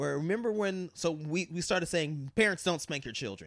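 On a very clean recording with a silent background, a man speaks in an animated tone at a fairly quick pace. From Colorado. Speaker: podcast guest. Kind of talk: casual chat.

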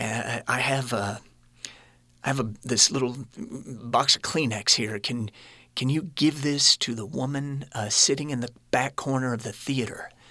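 Over a silent background on a very clean recording, a man with a bright, sharp, medium-pitched voice speaks at a fairly slow pace with ordinary pitch variation. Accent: American. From US Midwest, Kansas City. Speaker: actor and producer. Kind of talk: interview testimony. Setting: studio.

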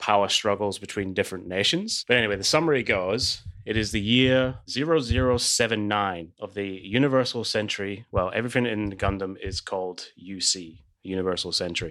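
On a very clean recording with a silent background, a man with an American accent and a fairly low pitch talks at a moderate pace with ordinary pitch variation. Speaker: podcast co-host. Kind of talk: casual chat.

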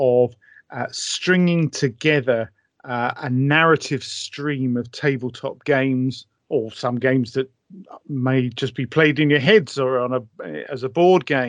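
A fairly slow speaker with a British accent. The background is quiet. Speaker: author and wargaming historian. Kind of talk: casual interview chat.

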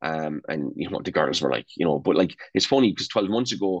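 Against a quiet background, a man speaks with an Irish accent. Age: 40s. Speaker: national youth football coach. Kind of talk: casual interview.

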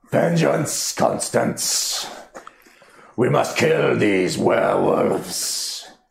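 A booming, raspy put-on character voice from a man, delivered at a very slow pace with a slight echo. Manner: vengeful, commanding.

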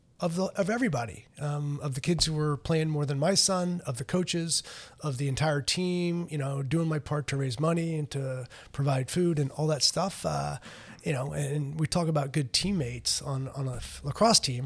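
A man speaks at a moderate pace with a fairly high pitch and ordinary pitch variation. His voice is somewhat breathy. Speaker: college lacrosse head coach. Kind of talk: casual interview. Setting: studio. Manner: halting, many fillers and repetitions.

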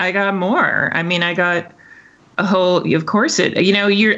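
Noticeable background noise sits under a woman's fairly low-pitched voice. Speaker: opera singer and voice teacher. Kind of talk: casual interview conversation.

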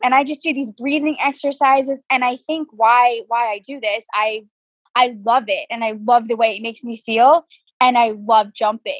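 A woman with an American accent, high in pitch, with ordinary pitch variation at a moderate pace, in a dry, close sound with no echo. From New York. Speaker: amateur show jumping rider. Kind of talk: interview.

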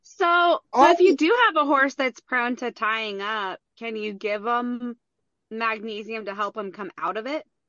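A woman talks with an ordinary speaking voice at a fairly high pitch and a fairly slow pace. Her intonation is lively, and her loudness swings widely. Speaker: small business owner. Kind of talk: casual conversation.

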